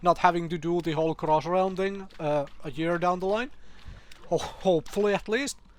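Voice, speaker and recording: A man's high-pitched voice carries a non-native accent and fairly even intonation. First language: not English. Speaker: gaming youtuber. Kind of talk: casual commentary video. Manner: hesitant, many fillers.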